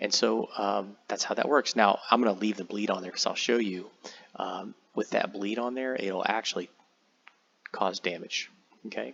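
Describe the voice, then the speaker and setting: This man has a plain, everyday voice, fairly low in pitch, and talks at a moderate pace. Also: ordinary pitch variation. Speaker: tabletop game software tutorial creator. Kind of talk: tutorial. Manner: casual, many fillers and repeats.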